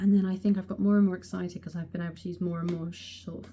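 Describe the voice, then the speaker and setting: Soft-spoken and somewhat breathy, a woman with an English accent talks at a very fast pace in a dark, mellow tone. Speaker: beauty vlogger. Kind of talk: casual chat. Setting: close to the camera. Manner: animated.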